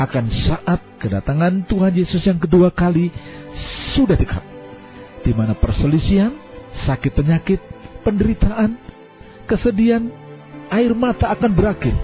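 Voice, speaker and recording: Music plays in the background as a woman speaks with very wide pitch swings and very even loudness. She leaves long, frequent pauses. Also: medium pitch for a woman, moderate pace. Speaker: hospital nurse narrator. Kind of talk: devotional reading.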